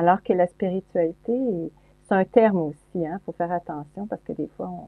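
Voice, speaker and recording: With an ordinary speaking voice, a woman talks at a moderate pace, her pitch fairly low and its variation ordinary. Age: 60s. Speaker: psychologist and speaker. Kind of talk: interview conversation.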